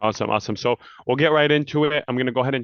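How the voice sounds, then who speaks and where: Ordinary pitch variation in a male voice. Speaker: forex trader and trading educator. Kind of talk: trading tutorial. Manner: fast.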